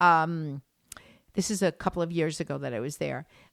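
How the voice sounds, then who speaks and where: Using an ordinary speaking voice with an American accent, a woman talks at a fairly low pitch and a fairly quick pace with lively intonation, on a very clean recording with a silent background and a dry, close sound with no echo. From United States. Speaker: tour guide and art historian. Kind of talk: casual chat.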